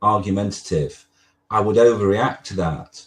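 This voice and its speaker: A man speaks with a slight northern English accent. His pitch varies in an ordinary way. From northwest England. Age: 60s. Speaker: lawyer. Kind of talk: interview. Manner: halting.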